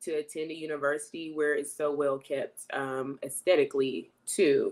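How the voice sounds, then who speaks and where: A woman at a moderate pace, very deep and low in pitch, on a very clean recording with a silent background. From North Carolina. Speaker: university alumna, health and fitness coach. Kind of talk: interview.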